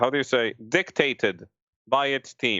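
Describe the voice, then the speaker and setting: A man is speaking. He has a strong non-native accent. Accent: thick foreign. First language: not English. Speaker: screenwriter. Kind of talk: casual panel discussion. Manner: halting, many restarts.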